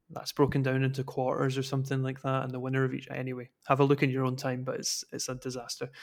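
On a very clean recording with a silent background, a man speaks in a Scottish accent at a medium pitch. His delivery is very fast, with monotone, flat intonation. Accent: Scottish (Fife). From Scotland, Dunfermline. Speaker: football analyst. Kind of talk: casual chat.

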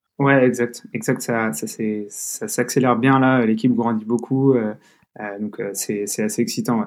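On a very clean recording with a silent background, a man speaks at a fairly slow pace, medium in pitch, with fairly even intonation. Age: 20s. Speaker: growth manager at a health tech startup. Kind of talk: interview. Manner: halting, many fillers and repetitions.

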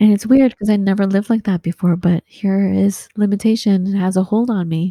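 A woman with an American accent speaks at a fairly quick pace in a medium-pitched, dark, mellow tone that is somewhat breathy. The sound is dry and close with no echo. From Southern California. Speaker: photographer and podcaster. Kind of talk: interview. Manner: animated.

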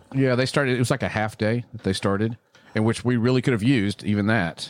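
Recorded with a dry, close sound and no echo, a man with a Texan accent speaks with lively intonation. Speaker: podcast host, cigar shop owner. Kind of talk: casual chat. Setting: studio.

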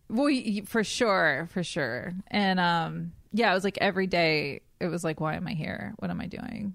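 A woman with an American accent speaks in a normal speaking voice at a fairly low pitch with ordinary pitch variation. The recording is very clean, with a silent background. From US South, coastal North Carolina. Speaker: eating disorder dietitian. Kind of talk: casual chat.

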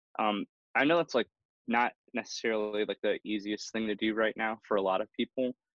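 This man has a plain, everyday voice, medium in pitch, talking at a fairly quick pace with fairly even intonation in an American accent. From Milwaukee, Wisconsin. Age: 20s. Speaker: filmmaker and photographer. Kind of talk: interview. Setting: remote recording from home.

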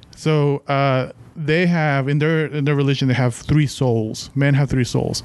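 A man with a Mexican accent speaks at a fairly slow pace in a fairly high pitch, with fairly even intonation and very even loudness. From Mexico. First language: Spanish. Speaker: podcast listener guest. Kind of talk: casual chat.

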